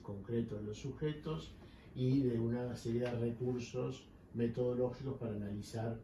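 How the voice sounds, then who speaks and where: Noticeable background noise runs under the recording. Room echo is audible too. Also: man. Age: 60s. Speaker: psychoanalyst. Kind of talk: interview. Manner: formal.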